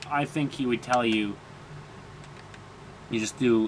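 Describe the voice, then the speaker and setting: Over noticeable background noise, a man of medium pitch talks with fairly even intonation. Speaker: gaming commentator. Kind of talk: gameplay commentary.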